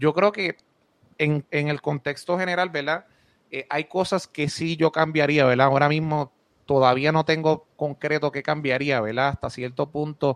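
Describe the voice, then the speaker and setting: In a Puerto Rican accent, a man speaks with fairly even intonation. The background is quiet and the sound is dry and close with no echo. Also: moderate pace. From Puerto Rico, Moca. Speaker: basketball commentator. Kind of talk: casual chat.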